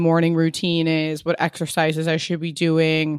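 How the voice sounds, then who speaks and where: A woman's fairly low voice at a fairly slow pace, in a very clean recording with a silent background. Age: 30s. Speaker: beauty brand founder and podcaster. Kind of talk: casual chat.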